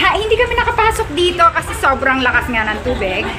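Clear music plays behind a woman's voice. Raised and projected, she speaks at a fairly quick pace. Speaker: vlogger filming a friend. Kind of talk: casual vlog chat. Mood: excited, amazed. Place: tunnel cave. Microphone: phone near.

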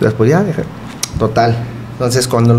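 A man is speaking. Noticeable background noise sits behind his voice. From Ciudad Juárez, Chihuahua, northern Mexico. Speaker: goalkeeper coach. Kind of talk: casual interview. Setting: studio. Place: home room. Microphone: studio mic.

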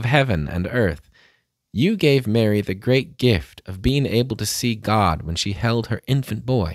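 A man at a fairly slow pace, dry sound with no echo and a quiet background. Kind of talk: fervent, reverent prayer led aloud. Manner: earnest, devout, steady. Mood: calm, reverent. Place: home room. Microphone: studio mic.

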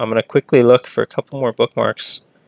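A man's unremarkable speaking voice at medium pitch, fairly even in intonation, with a dry, close sound and no echo. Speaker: game streamer. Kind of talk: live game stream commentary. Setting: live stream, home. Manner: casual, chatty, thinking aloud.

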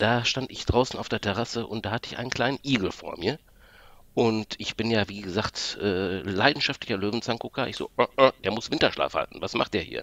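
In a normal speaking voice at medium pitch, a man talks at a fairly quick pace, with ordinary pitch variation and big swings in loudness. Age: 40s. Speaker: podcast listener guest. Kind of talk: casual chat. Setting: remote call from home office.

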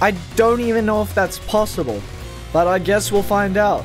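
Over music in the background, a man speaks with a high pitch. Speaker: gaming YouTuber. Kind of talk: gaming commentary voiceover.

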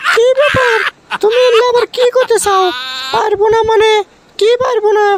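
A cartoonish character voice with an extremely high pitch speaks at a moderate pace, keeping very even loudness and fairly even intonation. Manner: sharp, mocking.

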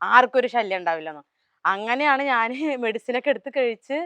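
With a dry, close sound and no echo, a woman in a plain, everyday voice speaks at a fairly high pitch with lively intonation. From Kerala, Palakkad. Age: 20s. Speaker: social media influencer. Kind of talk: interview.

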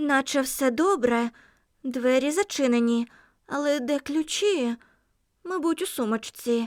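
A woman puts on a character voice, speaking fairly slowly at a high pitch with long, frequent pauses. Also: very even loudness. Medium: read story.

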